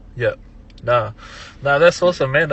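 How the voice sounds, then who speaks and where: A man with a Tongan accent. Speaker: music producer and DJ. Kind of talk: casual podcast interview.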